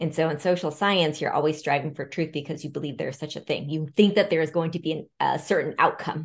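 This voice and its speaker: A woman speaks very fast in a very deep, low voice with hardly any pauses. Her intonation stays fairly even over a quiet background. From Seattle, US Pacific Northwest (born in Vietnam, arrived as a small child). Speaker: consultant and author. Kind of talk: interview conversation. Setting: remote call.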